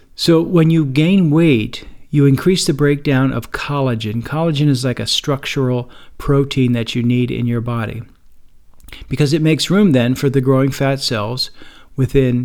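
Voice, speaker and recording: He has an unremarkable speaking voice, pitched in the medium range. This man keeps a moderate pace, and his pitch varies in an ordinary way. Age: 60s. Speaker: podcast host living with type 2 diabetes. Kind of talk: solo podcast monologue. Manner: relaxed, conversational.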